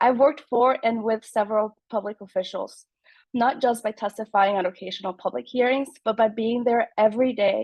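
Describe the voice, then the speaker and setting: A woman with a Spanish accent speaks at a fairly quick pace in a fairly high pitch, her intonation fairly even. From Mexico until nine, then Germantown, Maryland. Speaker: political candidate. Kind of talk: campaign speech.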